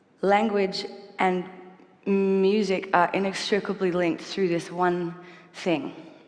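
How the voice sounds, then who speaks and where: A woman's medium-pitched voice at a very slow pace, with fairly even intonation and noticeable background noise. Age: 20s. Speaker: singer and performer giving a talk. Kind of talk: public talk. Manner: halting, with repeated sounds.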